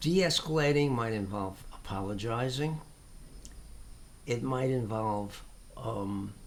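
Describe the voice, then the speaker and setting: Lively intonation carries a man's medium-pitched voice. He moves at a very slow pace with long, frequent pauses. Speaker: tai chi teacher. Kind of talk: casual talk to camera. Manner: hesitant.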